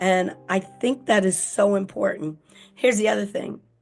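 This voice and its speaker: Music behind a woman's voice, moderately paced. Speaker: podcast host and author. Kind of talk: motivational podcast monologue. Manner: animated.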